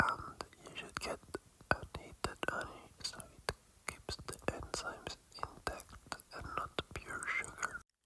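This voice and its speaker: Whispering at a fairly slow pace, a man is heard over noticeable background noise. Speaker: ASMR eating creator. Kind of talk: casual talk to camera. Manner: whispered.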